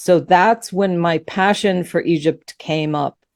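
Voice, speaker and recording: With a normal speaking voice, a woman talks at a moderate pace in a fairly low pitch with ordinary pitch variation, the recording very clean, silent behind her, and dry and close with no echo. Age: 60s. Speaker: author and spiritual teacher. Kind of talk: interview.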